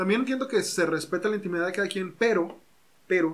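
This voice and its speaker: The man's pitch varies in an ordinary way. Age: 20s. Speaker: psychologist and podcast host. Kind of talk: casual chat. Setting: home recording.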